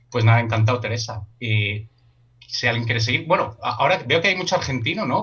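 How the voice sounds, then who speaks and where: With noticeable background noise, a man talks at a fairly quick pace. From Spain. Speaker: workshop leader. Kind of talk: online workshop discussion.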